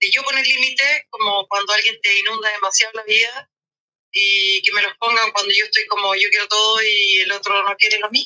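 A woman with a fairly high pitch and a bright, sharp tone talks at a fairly quick pace with fairly even intonation, in a dry, close sound with no echo. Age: 40s. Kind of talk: casual chat.

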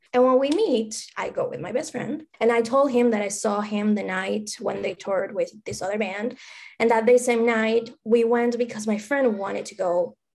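A woman at a fairly high pitch with an Argentine accent, ordinary pitch variation, a moderate pace, big swings in loudness and hardly any pauses. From Argentina. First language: Spanish. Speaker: music fan. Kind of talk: casual interview.

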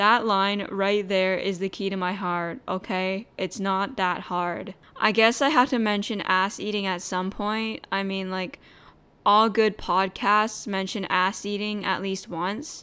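A woman with a medium pitch speaks at a fairly slow pace in a bright, sharp tone. Her intonation is fairly even, and the recording is very clean with a silent background. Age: 20s. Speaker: solo podcast host. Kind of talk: casual monologue. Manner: casual, crude and rambling.

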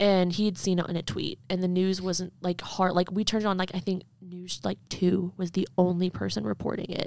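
In a plain, everyday voice, a woman speaks at a moderate pace and medium pitch, with fairly even intonation and hardly any pauses. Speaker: student podcast co-host. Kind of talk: casual chat.

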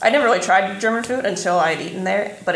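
Talking at a fairly quick pace, a woman with a Midwestern US accent shows ordinary pitch variation. Noticeable background noise and audible room echo fill the recording. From southeastern Indiana. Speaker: podcast co-host. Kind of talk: casual chat.

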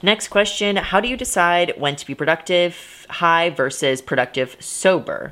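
With an ordinary speaking voice, a woman speaks at a moderate pace and fairly low pitch, her intonation lively and her loudness swinging widely. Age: 20s. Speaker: solo podcast host. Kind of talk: solo podcast monologue. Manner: casual, filler-heavy.

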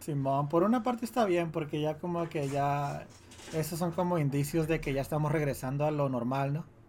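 A man speaks at a moderate pace with an unremarkable speaking voice. His fairly high pitch shows ordinary variation. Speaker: podcast co-host. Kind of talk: casual chat.

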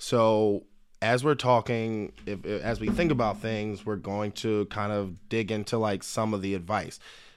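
A man with an American accent talks at a fairly slow pace and a fairly low pitch, using a plain, everyday voice. His pitch varies in an ordinary way, and the recording is very clean with a silent background. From Philadelphia. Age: 30s. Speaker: attorney. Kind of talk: casual chat.

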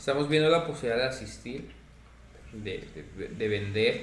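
In a room with audible echo, a man speaks fairly slowly with lively intonation. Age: 30s. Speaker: card shop owner. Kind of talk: casual chat.

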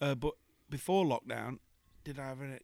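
Recorded very cleanly against a silent background, with a dry, close sound and no echo, a man with an English Midlands accent talks at a fairly quick pace, medium pitch and fairly even intonation. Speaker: singer and impressionist. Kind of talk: casual chat. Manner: jokey, laughs often.

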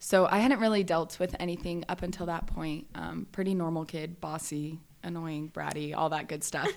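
In a normal speaking voice, a woman with an American accent talks at a moderate pace and fairly low pitch, with fairly even intonation and hardly any pauses, on a very clean recording with a silent background. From Southern California. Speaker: guest sharing her mental health story. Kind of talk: testimony.

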